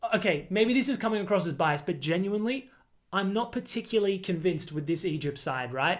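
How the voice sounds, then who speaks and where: On a very clean recording with a silent background, the speaker uses an Australian accent, a fairly quick pace and ordinary pitch variation. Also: man. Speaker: football video creator. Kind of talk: casual monologue. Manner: animated.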